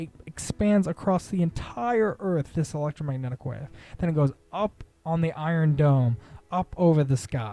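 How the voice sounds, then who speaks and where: With lively intonation, a man using a normal speaking voice sits fairly high in pitch. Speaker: spiritual content creator. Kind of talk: monologue lecture.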